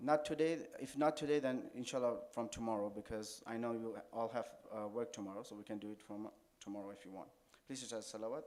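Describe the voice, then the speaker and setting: The delivery is very fast, with big swings in loudness and audible room echo. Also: man, medium pitch for a man, ordinary pitch variation. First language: Urdu. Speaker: Shia cleric, religious speaker. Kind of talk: religious lecture. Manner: halting.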